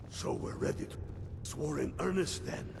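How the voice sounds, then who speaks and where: Loud background noise surrounds a man doing a put-on character voice. His pitch is medium and his pace moderate. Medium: video game. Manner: blunt, gruff, aggressive.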